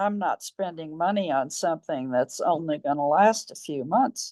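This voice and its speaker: A woman speaks with a dark, mellow tone and lively intonation. The sound is dry and close, with no echo. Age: 80s+. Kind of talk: customer testimonial interview.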